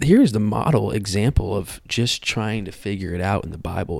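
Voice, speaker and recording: The speaker is a man. His voice has vocal fry. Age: 20s. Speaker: podcast host. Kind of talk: testimony.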